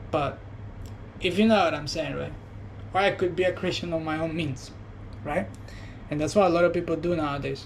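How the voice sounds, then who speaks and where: Audible room echo surrounds a man speaking at a fairly high pitch and a moderate pace, with ordinary pitch variation. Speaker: vlogger. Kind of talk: personal reflection monologue. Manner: soft-spoken; halting.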